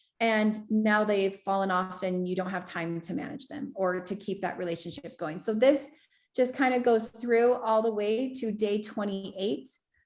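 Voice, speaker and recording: A plain, everyday voice from a woman, fairly high in pitch, with ordinary pitch variation and a moderate pace. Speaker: business assistant giving software training. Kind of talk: online training walkthrough.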